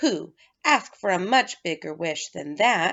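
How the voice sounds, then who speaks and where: A woman does a put-on character voice. It is raspy and delivered at a fairly slow pace. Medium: read story.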